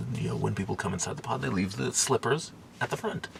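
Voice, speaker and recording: A man amid noticeable background noise. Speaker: food vlogger. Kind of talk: casual vlog. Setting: capsule hotel pod. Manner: quiet, hushed; hesitant, many fillers.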